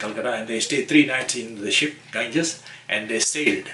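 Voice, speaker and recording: Noticeable background noise behind a man's moderate pace and ordinary pitch variation. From Fiji (Ba), Indo-Fijian family. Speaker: elderly immigrant interviewee. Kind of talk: oral history interview. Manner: halting, many repetitions and fillers.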